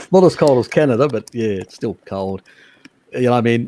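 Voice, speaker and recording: In a dry, close sound with no echo, a man with an Australian accent speaks at a medium pitch in a dark, mellow tone with lively intonation. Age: 50s. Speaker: live stream host on diet and nutrition. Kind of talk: casual chat. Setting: live stream video call. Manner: halting, many fillers.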